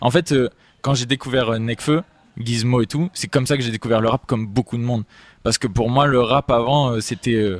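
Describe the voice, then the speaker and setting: A man speaks in an unremarkable speaking voice at a moderate pace and medium pitch, with ordinary pitch variation. The sound is dry and close, with no echo. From Marseille, southern France. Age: 20s. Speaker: singer and rapper. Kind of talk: interview. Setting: studio.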